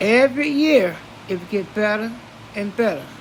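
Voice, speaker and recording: Over noticeable background noise, a woman talks at a fairly slow pace and a fairly high pitch. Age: 80s+. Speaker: elder storyteller. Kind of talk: reminiscing monologue. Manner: halting.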